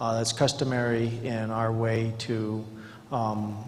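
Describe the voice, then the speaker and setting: A man speaks very slowly with monotone, flat intonation at a medium pitch. The room echo is audible and background noise is noticeable. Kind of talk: formal presentation at a public meeting. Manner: halting, with many fillers; formal.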